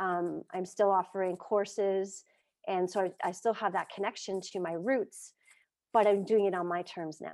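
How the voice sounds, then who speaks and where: In a very clean recording with a silent background, a woman at a medium pitch speaks in a monotone, flat intonation. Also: moderate pace. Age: 50s. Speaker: martial arts teacher and coach. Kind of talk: casual interview chat.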